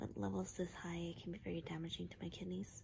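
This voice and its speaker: A woman is soft-spoken here. Her pace is moderate. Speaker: vlogger. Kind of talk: casual vlog. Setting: hospital room. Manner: halting.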